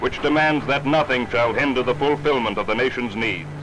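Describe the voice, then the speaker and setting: Over noticeable background noise, a man talks at a fairly quick pace. His pitch is medium. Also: ordinary pitch variation. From Canada. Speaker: stage actor. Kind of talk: documentary narration. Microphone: old recording.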